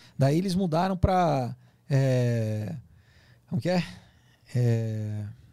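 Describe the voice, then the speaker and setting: Against a quiet background, a man with a dark, mellow tone speaks at a very slow pace with lively intonation and long, frequent pauses, the sound dry with no echo. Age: 40s. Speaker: actor and comics writer; actor, comics writer. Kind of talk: interview conversation. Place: studio. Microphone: studio mic.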